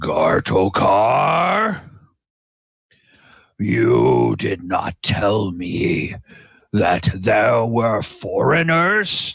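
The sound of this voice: In a put-on character voice, the speaker rumbles along at a very slow pace with a raspy edge. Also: man.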